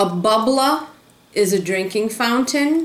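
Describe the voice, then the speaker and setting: A woman with a Rhode Island accent speaks at a fairly slow pace with lively intonation over noticeable background noise. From Rhode Island, USA. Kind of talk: casual talk to camera.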